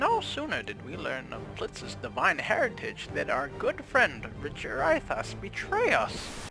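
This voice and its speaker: A man uses a put-on character voice at a fairly slow pace with hardly any pauses. Faint music sits in the background. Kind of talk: fantasy storytelling narration. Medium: actual play.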